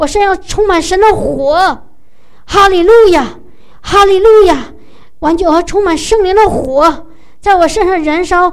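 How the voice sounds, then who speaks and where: A woman with an extremely high voice talks at a fairly slow pace. Her pitch shifts in an ordinary way, and she takes long, frequent pauses. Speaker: preacher leading prayer. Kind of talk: fervent charismatic prayer, worship. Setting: church gathering. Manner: emotional, pleading, rising in volume.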